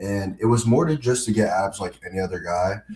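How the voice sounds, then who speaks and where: The man's voice has a dark, mellow tone and a somewhat breathy quality. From Brazil. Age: 19. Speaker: fitness coach and social media creator. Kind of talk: casual chat.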